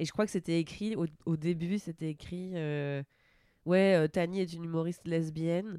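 A woman's dark, mellow tone with fairly even intonation, on a very clean recording with a silent background. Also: fairly low pitch for a woman, moderate pace. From northern France, Normandy. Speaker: comedian. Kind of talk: casual chat.

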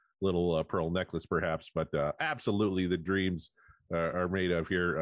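A man speaks at a fairly quick pace in a husky voice. His pitch is very deep and low, with fairly even intonation. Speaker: podcast co-host.

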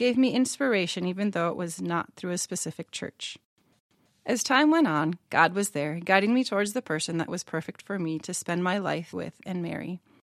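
Against a quiet background, a woman with an American accent talks at a fairly quick pace in a plain, everyday voice of medium pitch, her intonation lively and the sound dry and close with no echo. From central Minnesota, US. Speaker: church member sharing faith story. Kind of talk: personal testimony read aloud.

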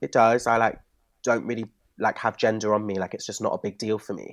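Recorded very cleanly against a silent background, a man with a Bristol accent speaks in a dry, close sound with no echo. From Bristol, England. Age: 20s. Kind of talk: casual chat. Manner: animated.

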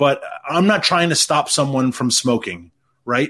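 Here a man talks at a moderate pace. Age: 40s. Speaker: energy policy advocate. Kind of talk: interview. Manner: halting, frequent repetitions and fillers.

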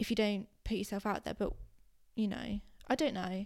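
A woman with a British accent. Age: 20s. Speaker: podcast co-host. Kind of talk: casual chat.

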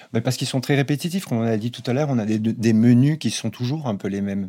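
A man's voice carries a dark, mellow tone with ordinary pitch variation. The recording is very clean, the background silent. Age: 50s. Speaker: socio-anthropologist. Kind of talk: panel discussion. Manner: halting.

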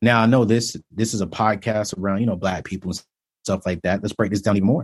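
A man's fairly low voice at a fairly quick pace, ordinary pitch variation, quiet background. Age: 30s. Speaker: personal finance author and speaker. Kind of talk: interview. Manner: animated.

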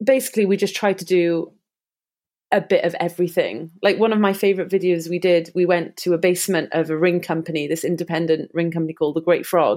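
This woman talks at a very fast pace with a Cardiff accent, her fairly low voice held to a fairly even intonation. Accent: Welsh (Cardiff). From Wales, Cardiff. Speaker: wedding videographer. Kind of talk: casual interview.

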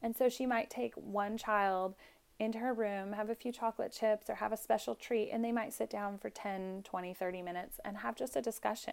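A woman with a plain, everyday voice speaks at a moderate pace in a fairly high pitch with ordinary pitch variation, in a very clean recording with a silent background. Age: 30s. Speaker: mother and student midwife. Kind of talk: casual chat.

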